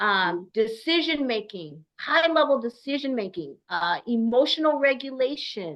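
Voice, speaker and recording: Loud and animated, a woman speaks at a fairly slow pace in a high pitch with very wide pitch swings. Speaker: AI speaker. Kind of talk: webinar discussion.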